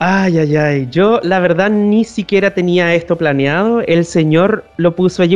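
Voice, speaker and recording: A man's high-pitched voice with ordinary pitch variation, over music in the background. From northern Chile. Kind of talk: interview. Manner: halting, with frequent repetitions.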